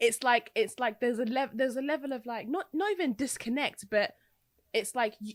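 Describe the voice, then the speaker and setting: With a London accent, a woman talks at a fairly quick pace in a high pitch with ordinary pitch variation. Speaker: podcast co-host. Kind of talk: casual chat.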